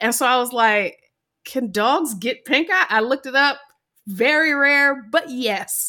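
The voice is raised and projected, with a bright, sharp tone and an American accent. It moves at a fairly slow pace with lively intonation. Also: woman, high pitch for a woman. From US South, Georgia. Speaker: podcast co-host. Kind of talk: casual chat.

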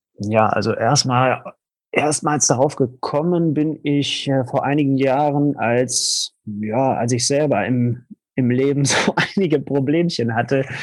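Recorded very cleanly against a silent background, a man talks very slowly in a fairly high voice. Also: ordinary pitch variation. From Ruhr area, Germany. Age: 30s. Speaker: coach. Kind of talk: interview. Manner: halting.

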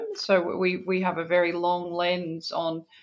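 In an Australian accent, a woman speaks at a fairly slow pace and fairly low pitch, with fairly even intonation. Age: 40s. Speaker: business executive. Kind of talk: interview.

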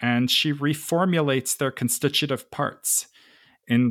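On a very clean recording with a silent background, a man at medium pitch talks at a fairly slow pace with lively intonation. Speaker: podcast host. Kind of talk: casual interview conversation. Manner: hesitant, filler-heavy.

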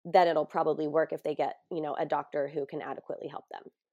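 A woman with an American accent talks at a very fast pace over a quiet background. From US West Coast (San Diego). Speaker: grief coach and yoga teacher. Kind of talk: interview.

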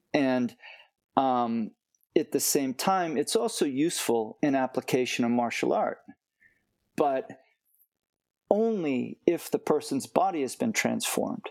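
A man with an American accent speaks at a fairly slow pace, leaving long, frequent pauses. His fairly high voice makes very wide pitch swings in a dry, close sound with no echo. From United States. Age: 50s. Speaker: martial arts teacher. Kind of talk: interview.

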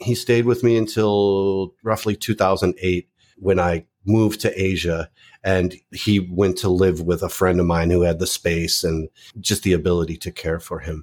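On a very clean recording with a silent background, a man talks at a moderate pace. His voice is very deep and low, with an American accent. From US Midwest, Chicago suburbs. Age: 50s. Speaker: pet website editor. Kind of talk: casual interview.

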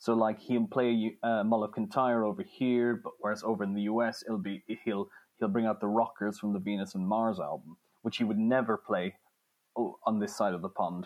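The speaker has an Irish accent and talks at a moderate pace. Pitch varies in an ordinary way. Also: man, medium pitch for a man. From Ireland. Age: 20s. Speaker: music journalist and author. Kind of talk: interview. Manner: halting, with frequent repetitions.

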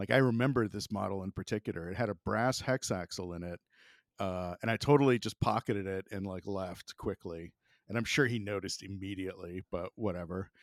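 An American-accented man with an ordinary speaking voice, fairly low pitch and ordinary pitch variation, at a fairly quick pace, in a dry, close, very clean recording with no echo and a silent background. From US South, Florida (Jacksonville). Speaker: professional yo-yo player. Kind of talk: casual storytelling chat.

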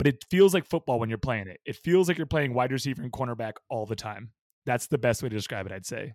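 A man with an American accent talks very fast at a medium pitch, his intonation lively and his loudness swinging widely, in a dry, close recording with no echo that is very clean over a silent background. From US West Coast, Bay Area. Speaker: professional ultimate frisbee player. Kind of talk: casual interview.

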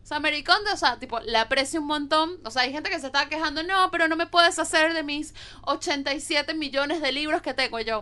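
At a moderate pace, this raised, projected voice carries a bright, sharp tone and lively intonation. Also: woman. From Venezuela. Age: 20s. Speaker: podcast co-host. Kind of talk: casual chat.

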